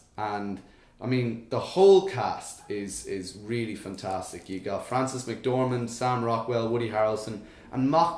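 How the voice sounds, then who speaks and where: Over noticeable background noise and audible room echo, a man with a medium pitch talks at a moderate pace with lively intonation. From Ireland. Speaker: podcast co-host. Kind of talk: casual chat.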